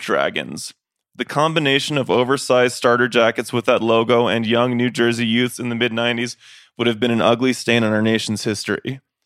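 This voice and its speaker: A man speaks at medium pitch. He has a plain, everyday voice. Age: 30s. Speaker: podcast host and touring musician. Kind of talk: casual chat. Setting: on tour in Mexico City.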